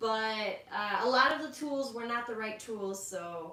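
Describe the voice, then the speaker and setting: Amid noticeable background noise and audible room echo, a woman speaks at a fairly slow pace in a fairly high pitch with ordinary pitch variation. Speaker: livestream co-host. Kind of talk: casual chat. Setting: livestream. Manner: soft-spoken. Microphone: cutting out, too quiet.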